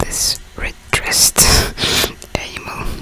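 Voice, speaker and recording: Noticeable background noise runs through the clip. Beneath it, a woman whispers at a very slow pace. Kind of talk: casual talk while playing a game. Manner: whispered.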